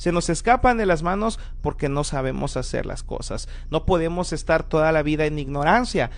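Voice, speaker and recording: A man with a high pitch speaks at a moderate pace. His pitch varies in an ordinary way, and there is audible room echo. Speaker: preacher. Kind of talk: sermon.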